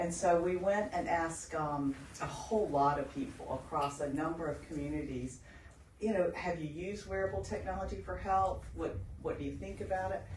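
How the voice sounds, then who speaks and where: Fairly brisk delivery against noticeable background noise. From outside Australia. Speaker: health researcher. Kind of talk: seminar interview on stage. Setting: stage with audience. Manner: animated.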